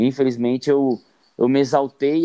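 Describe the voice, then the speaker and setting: The sound is dry and close with no echo. A man with a dark, mellow tone speaks at a moderate pace. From Brazilian Northeast. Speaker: podcast co-host and YouTuber. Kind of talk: casual chat.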